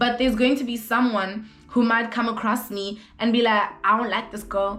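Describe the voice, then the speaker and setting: A woman speaks at a fairly high pitch with fairly even intonation. Audible room echo and noticeable background noise accompany her. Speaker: vlogger. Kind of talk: casual chat. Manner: loud.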